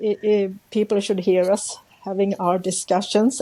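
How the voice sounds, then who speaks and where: A woman at a fairly slow pace amid noticeable background noise. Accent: Swedish. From central Sweden. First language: Swedish. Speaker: journaling artist, YouTuber. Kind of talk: casual interview. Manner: halting, searching for words.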